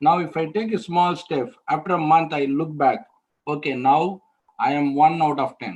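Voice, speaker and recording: Here a man is speaking. He has a Tamil accent. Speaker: alumnus mentor, interview trainer. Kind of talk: online training talk. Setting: webinar.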